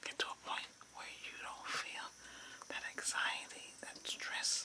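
A man whispers at a very slow pace in a soothing, calm tone over noticeable background noise. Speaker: reiki healer. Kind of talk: guided relaxation / reiki healing session. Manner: whispered, soothing, calm.

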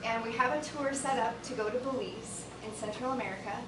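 A woman talks in a high voice with ordinary pitch variation. Noticeable background noise can be heard. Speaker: presenter. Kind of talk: presentation to a board. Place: meeting room. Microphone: camera far.

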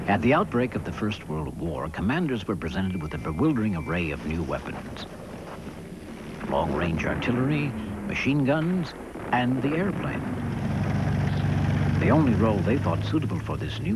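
Over noticeable background noise, a man with a fairly low pitch speaks at a moderate pace, taking long, frequent pauses and making very wide pitch swings. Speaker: narrator. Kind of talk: documentary narration.

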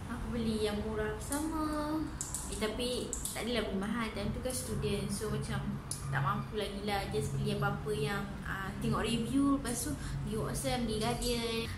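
Loud background noise behind a woman's fairly slow delivery. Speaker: beauty vlogger. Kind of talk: casual vlog chat. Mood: relaxed, chatty, light humour.

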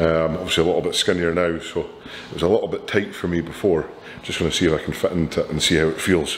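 Noticeable background noise is present. Through it, a man talks fairly quickly. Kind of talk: casual vlog chat. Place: gym. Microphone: camera far.

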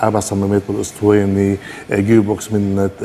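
Light background noise sits behind a man talking at a fairly quick pace with a fairly low pitch. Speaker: guest. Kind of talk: interview answer. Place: studio. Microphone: lapel.

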